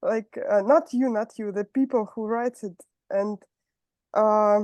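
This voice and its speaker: A woman with a Russian accent speaks in a fairly high pitch. The sound is dry and close with no echo, over a quiet background. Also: fairly slow pace. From southern Russia, Rostov-on-Don. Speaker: meeting participant. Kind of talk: question and answer. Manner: halting.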